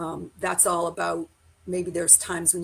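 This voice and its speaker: With vocal fry and a fairly low pitch, a woman speaks in monotone, flat intonation. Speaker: sales trainer. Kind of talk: live-streamed training. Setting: live stream.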